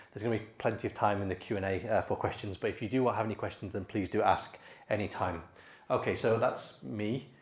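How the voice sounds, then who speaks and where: In a British accent, a man with a fairly low, somewhat breathy voice talks at a very fast pace with fairly even intonation. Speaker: AI expert speaker. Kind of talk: conference talk. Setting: stage with audience.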